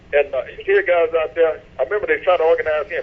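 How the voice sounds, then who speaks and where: A man speaks over noticeable background noise. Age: 80s+. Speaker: elderly interviewee recounting history. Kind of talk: interview conversation. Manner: halting, many repetitions.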